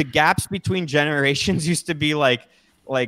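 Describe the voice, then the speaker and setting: With an American accent, a man with an ordinary speaking voice and fairly high pitch talks at a moderate pace with ordinary pitch variation, in a dry, close sound with no echo. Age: 30s. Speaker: political commentator. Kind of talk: casual chat.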